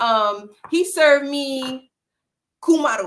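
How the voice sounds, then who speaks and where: A woman with an American accent speaks in a high pitch with an animated tone and very wide pitch swings. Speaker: online talk show host. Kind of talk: casual chat.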